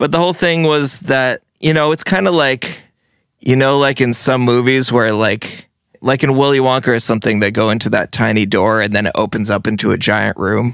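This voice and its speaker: A man with an American accent, an ordinary speaking voice, medium pitch, ordinary pitch variation and very even loudness. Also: moderate pace. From US Northeast, Vermont and New Jersey. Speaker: musician. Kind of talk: casual chat.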